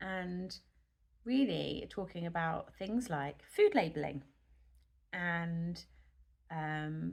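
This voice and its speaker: A woman speaks at a very slow pace. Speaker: nurse and health vlogger. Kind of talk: casual vlog monologue. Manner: slow, rambling; hesitant with many fillers.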